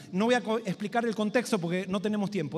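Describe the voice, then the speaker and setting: The man's voice sits at a high pitch. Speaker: pastor. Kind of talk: sermon. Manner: fast.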